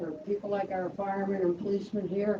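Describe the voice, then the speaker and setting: A woman speaks over noticeable background noise. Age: 80s+. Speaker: community member sharing memories. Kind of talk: personal testimony at memorial. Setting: memorial event with audience.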